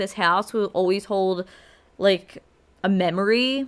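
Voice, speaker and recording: A woman of medium pitch with a Philadelphia accent. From Philadelphia, South Philly. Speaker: podcast host. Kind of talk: casual podcast monologue.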